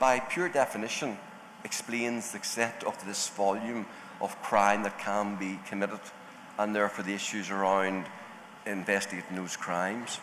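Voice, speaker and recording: A man with a strong Northern Irish accent speaks at a moderate pace and a fairly low pitch. His pitch varies in an ordinary way, with noticeable background noise behind him. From Northern Ireland. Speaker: panelist on cyber crime, law enforcement background. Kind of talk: panel discussion.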